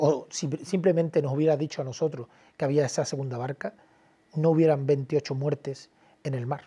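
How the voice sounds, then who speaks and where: Somewhat breathy and dark and mellow in tone, this man's voice sits fairly high in pitch. He keeps a moderate pace with fairly even intonation. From Cádiz, Andalusia, Spain; Andalusia, Spain. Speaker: documentary filmmaker and journalist; journalist. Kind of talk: interview. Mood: earnest, indignant. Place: studio. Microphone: lapel.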